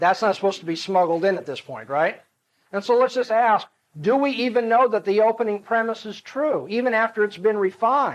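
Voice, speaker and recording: A man's voice, high in pitch, with lively intonation against a quiet background. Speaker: apologetics lecturer. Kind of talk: lecture. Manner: fast.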